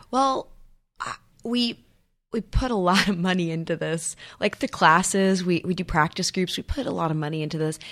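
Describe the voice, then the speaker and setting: A woman with an ordinary speaking voice, medium pitch, ordinary pitch variation, and a moderate pace on a very clean recording with a silent background. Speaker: improv theater artistic director and teacher. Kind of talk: casual interview chat.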